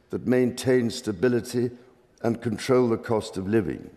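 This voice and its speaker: Dark and mellow in tone, a man's voice sits at medium pitch with fairly even intonation. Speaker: monarch. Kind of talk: formal parliamentary speech read aloud. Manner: formal, measured, slow.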